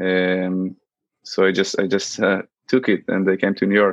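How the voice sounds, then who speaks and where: A man with an Israeli accent talks at a moderate pace. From Israel, central area. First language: Hebrew. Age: 20s. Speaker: student and startup app developer. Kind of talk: casual interview. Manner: halting, many fillers.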